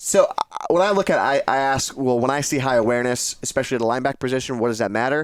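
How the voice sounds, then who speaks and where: The speaker talks at a very fast pace with a Massachusetts accent. Pitch variation is ordinary. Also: man, medium pitch for a man. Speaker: video game podcast co-host. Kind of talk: casual gaming discussion.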